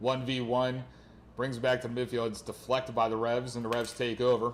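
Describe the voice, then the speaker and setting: Speaking with an American accent, a man keeps a medium pitch. His intonation is monotone and flat, and his pace is fairly quick. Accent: Philadelphia, noticeable on some words. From Philadelphia. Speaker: soccer play-by-play commentator. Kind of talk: live commentary.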